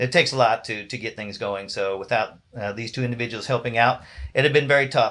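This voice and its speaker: A man talks at a very fast pace. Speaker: band director. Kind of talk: awards ceremony announcements. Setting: live stream.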